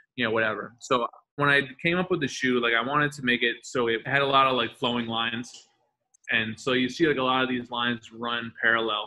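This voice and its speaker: A man has an unremarkable speaking voice at a medium pitch. He talks at a fairly quick pace with fairly even intonation. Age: 40s. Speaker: custom sneaker artist. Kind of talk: interview. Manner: casual, filler-heavy with repetitions.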